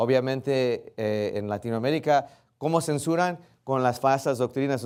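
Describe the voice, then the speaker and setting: A man is talking here at a fairly slow pace. His pitch is medium. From US, Texas, Rio Grande Valley. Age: 40s. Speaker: guest preacher. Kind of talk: sermon. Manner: halting with fillers and self-corrections.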